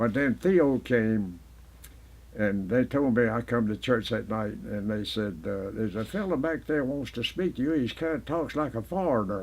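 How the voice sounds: A man's medium-pitched, slightly mellow voice at a moderate pace, with ordinary pitch variation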